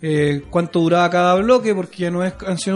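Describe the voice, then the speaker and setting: A man's high voice with a Chilean accent, a moderate pace and fairly even intonation, over noticeable background noise. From southern Chile, countryside near Concepción. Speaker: singer-songwriter. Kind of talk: casual interview. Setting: radio studio.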